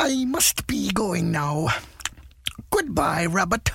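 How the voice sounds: A put-on character voice at a middle pitch goes along at a very slow pace.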